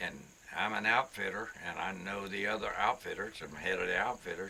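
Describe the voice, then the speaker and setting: With noticeable background noise behind him, a man talks at a fairly quick pace. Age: 80s+. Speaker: cowboy rancher and outfitter. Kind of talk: casual storytelling interview. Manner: halting, repeats words.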